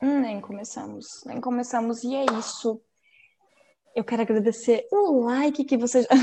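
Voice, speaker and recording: Talking fairly slowly, a woman uses a high voice whose pitch varies in an ordinary way. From Florianópolis, Santa Catarina, southern Brazil. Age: 20s. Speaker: podcast host. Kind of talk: casual chat.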